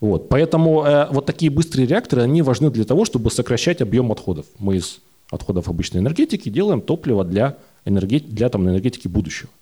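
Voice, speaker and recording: A man speaks at a very fast pace in a medium pitch. His tone is dark and mellow, with very wide pitch swings. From Russia, Urals (Yekaterinburg area). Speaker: nuclear science popularizer, engineer. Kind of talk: live talk show panel. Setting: stage with audience.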